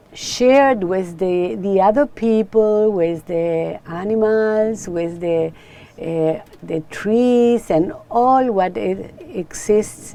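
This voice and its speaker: A woman with a Spanish accent speaks at a very slow pace amid noticeable background noise. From Chile. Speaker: author and spiritual teacher. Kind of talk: interview. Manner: halting.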